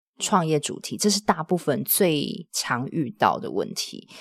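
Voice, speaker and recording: A woman's lively intonation, marked by vocal fry. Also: very clean recording, silent background. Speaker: podcaster and side-business coach. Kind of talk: casual interview. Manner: calm, steadying delivery.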